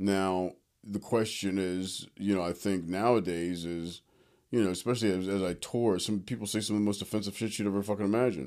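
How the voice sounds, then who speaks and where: At a fairly quick pace, a man with an American accent speaks at a fairly low pitch with fairly even intonation in a normal speaking voice, on a very clean recording with a silent background. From Philadelphia, US. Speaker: comedian. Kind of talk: casual interview chat. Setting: in person at host's place.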